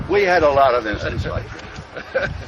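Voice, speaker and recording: A man with lively intonation over noticeable background noise. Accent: American. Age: 70s. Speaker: retired army general, war veteran. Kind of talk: battlefield recollection, casual talk. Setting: outdoors.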